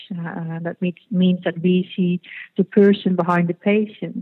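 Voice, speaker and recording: In a Dutch accent, a woman speaks at a fairly slow pace with a medium pitch and monotone, flat intonation. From Netherlands. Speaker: fertility clinic executive. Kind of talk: interview. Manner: halting.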